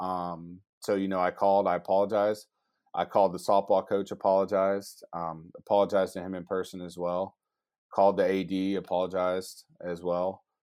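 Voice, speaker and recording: On a very clean recording with a silent background, a man with an American accent speaks at a very deep, low pitch in a monotone, flat intonation. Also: fairly quick pace. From Georgia, US South. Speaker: college sports information director. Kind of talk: casual interview.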